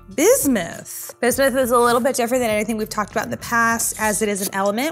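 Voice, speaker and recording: Faint music plays in the background as a woman speaks at a very fast pace. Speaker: show host. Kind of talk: casual educational unboxing commentary. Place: studio.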